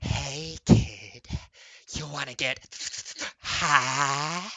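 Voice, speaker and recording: A man performs a put-on character voice. It is hissing. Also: medium pitch for a man. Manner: sly, offering a dodgy deal.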